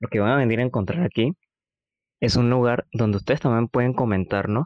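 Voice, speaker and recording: A man with an unremarkable speaking voice talks at a fairly quick pace in a medium pitch, with ordinary pitch variation and a dry, close sound with no echo. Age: 20s. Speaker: university student and podcast co-host. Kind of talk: casual chat.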